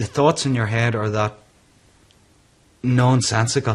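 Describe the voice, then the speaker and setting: A man with a Northern Irish accent speaks at medium pitch in a monotone, flat intonation. The recording is very clean, with a silent background. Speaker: businessman living with depression. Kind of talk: interview testimony.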